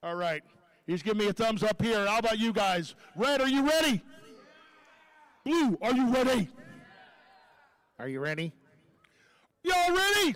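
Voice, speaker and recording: A man speaks loudly in an animated tone, with a high pitch, very wide pitch swings and a moderate pace. He leaves long, frequent pauses. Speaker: robotics match announcer. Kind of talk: live commentary.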